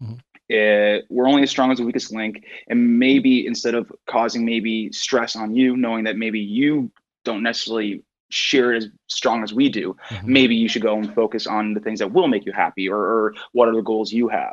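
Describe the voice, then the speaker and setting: Speaking at a moderate pace with fairly even intonation, a man uses an ordinary speaking voice at medium pitch. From Newfoundland, Canada. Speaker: touring musician. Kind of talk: casual interview chat.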